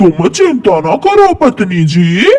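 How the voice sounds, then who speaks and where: Putting on a cartoonish character voice, a man speaks at a high pitch. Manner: sly, joking.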